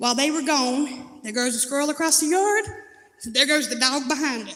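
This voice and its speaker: Loud and animated, the speaker talks at a fairly quick pace in a Southern US accent, with audible room echo. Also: woman. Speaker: recovery testimony speaker. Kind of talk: testimony. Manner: animated storytelling.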